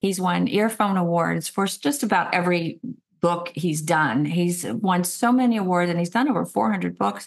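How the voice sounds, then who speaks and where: This woman has a fairly low voice and an American accent, with lively intonation. She talks at a moderate pace against a quiet background. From American South. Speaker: talk show host. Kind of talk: interview host talk. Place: home room. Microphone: webcam.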